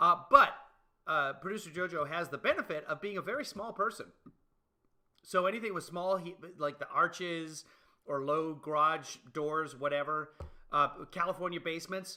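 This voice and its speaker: A bright, sharp tone at a moderate pace, with ordinary pitch variation and long, frequent pauses. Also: man, high pitch for a man. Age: 50s. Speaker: livestream host. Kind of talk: casual chat.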